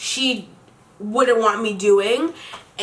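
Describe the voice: Someone is doing plain reading aloud.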